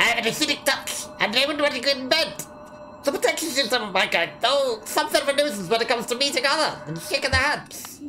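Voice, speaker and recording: A female-sounding voice in a put-on character voice runs at a fairly quick pace and high pitch, with clear music in the background. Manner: warm, nostalgic.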